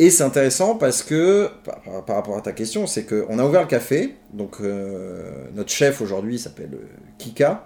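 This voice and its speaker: A man's dark, mellow tone with lively intonation. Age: 30s. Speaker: community organizer and café founder. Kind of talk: interview conversation. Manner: halting.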